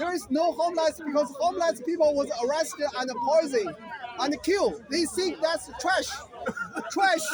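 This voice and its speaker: A man talks in an extremely high pitch with an animated tone. Crowd noise fills the background. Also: ordinary pitch variation, moderate pace. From China, Beijing. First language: Mandarin Chinese. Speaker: Chinese dissident speaking in street debate. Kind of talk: street debate. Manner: repetitive, animated.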